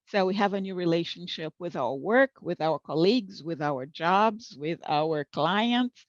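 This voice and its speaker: In a plain, everyday voice, a woman with a fairly low pitch speaks at a fairly slow pace with lively intonation and hardly any pauses, the sound dry and close with no echo over a quiet background. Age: 60s. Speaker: professional interpreter and conference speaker. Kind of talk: conference talk.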